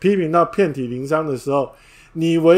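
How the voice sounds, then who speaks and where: The man's pitch sits fairly high. He talks at a moderate pace. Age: 50s. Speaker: book review podcaster. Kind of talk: livestream book talk.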